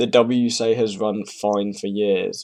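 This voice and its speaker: Dark, mellow male voice in a British accent. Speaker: speedcuber. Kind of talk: casual reaction commentary. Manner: hesitant, rambling.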